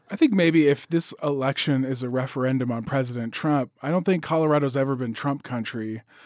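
A man with an ordinary speaking voice talks at medium pitch with ordinary pitch variation. His pace is fairly quick, with hardly any pauses. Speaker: business reporter. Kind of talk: panel discussion.

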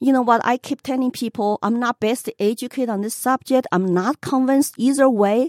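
A woman's high-pitched voice at a fairly quick pace with ordinary pitch variation, dry and close with no echo, on a very clean recording with a silent background. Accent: Chinese. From China. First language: Chinese. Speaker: political candidate. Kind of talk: radio interview.

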